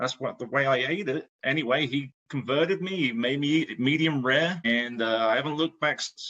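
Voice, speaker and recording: In an English accent, a man talks at a fairly quick pace with a fairly high pitch and ordinary pitch variation. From England. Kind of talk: casual podcast conversation.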